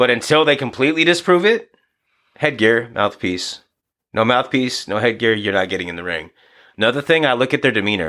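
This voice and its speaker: A loud, fairly quick voice in an American accent, bright and sharp in tone, with lively intonation, on a very clean recording with a silent background. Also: man. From US Pacific Northwest, Seattle (Beacon Hill) then Yakima, Washington. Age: 30s. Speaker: boxing coach and DJ. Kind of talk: casual chat.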